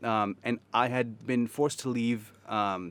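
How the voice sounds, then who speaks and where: At a fairly slow pace, a man talks in a medium pitch. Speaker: podcast guest, storyteller. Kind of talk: casual chat. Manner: animated.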